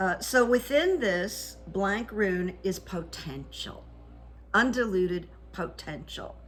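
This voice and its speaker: In a room with audible echo, a woman speaks at a very slow pace. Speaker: psychic coach and channel host. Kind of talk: solo video commentary with rune reading. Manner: loud.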